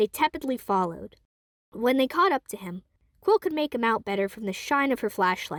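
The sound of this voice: At a moderate pace, a woman speaks at a fairly high pitch with lively intonation in a dry, close sound with no echo.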